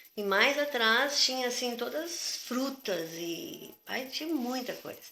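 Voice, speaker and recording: Noticeable background noise and audible room echo both surround a woman's voice. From southern Brazil, Porto Alegre. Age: 60s. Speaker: retired physical education teacher. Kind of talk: interview. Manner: conversational, hesitant.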